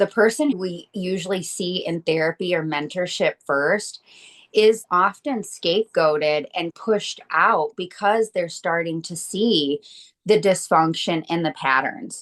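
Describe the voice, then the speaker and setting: Using an ordinary speaking voice, a woman with an American accent talks fairly slowly at medium pitch with ordinary pitch variation, in a dry, close sound with no echo. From Michigan. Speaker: estrangement coach. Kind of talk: interview.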